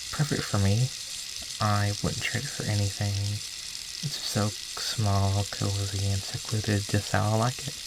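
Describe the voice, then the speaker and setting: At a very slow pace and in a gentle tone, the voice comes through noticeable background noise. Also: man. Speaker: ASMR creator / roleplay performer. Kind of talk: ASMR roleplay, caring caretaker talking to the listener. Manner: soft-spoken, slow, gentle.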